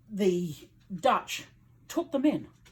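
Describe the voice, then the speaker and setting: With a British accent, a woman talks at a fairly slow pace in a somewhat breathy voice of medium pitch. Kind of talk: interview answer.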